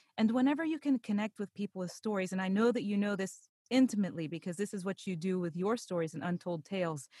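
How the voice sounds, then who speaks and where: Somewhat breathy and lively in intonation, a woman with an American accent talks at a fairly quick pace in a dry, close sound with no echo, in a very clean recording with a silent background. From Pittsburgh, Pennsylvania. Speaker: voice actor and podcast narrator. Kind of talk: interview, conversational.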